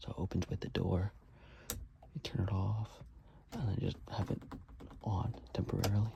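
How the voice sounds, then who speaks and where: A soft-spoken whisper at a moderate pace. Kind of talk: ASMR video, casual talk to camera. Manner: whispered, soft-spoken.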